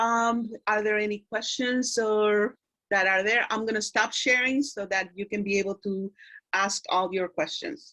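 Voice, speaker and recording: In a Spanish accent, a woman talks at a fairly slow pace with ordinary pitch variation. Her fairly high voice has a bright, sharp tone. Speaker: doctor speaking at school career day. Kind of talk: career talk to students. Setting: video call.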